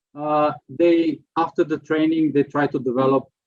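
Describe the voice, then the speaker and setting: Fairly even intonation from a man talking fairly slowly. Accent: Slovenian. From Slovenia. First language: Slovenian. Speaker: prevention expert. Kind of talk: lecture. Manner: halting.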